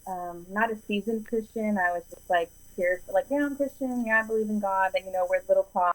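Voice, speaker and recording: Here a woman has a plain, everyday voice, fairly high in pitch with ordinary pitch variation. She speaks at a fairly quick pace in a dry, close sound with no echo. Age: 30s. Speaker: podcast guest, preacher's daughter. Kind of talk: casual interview conversation. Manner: chatty, lots of fillers.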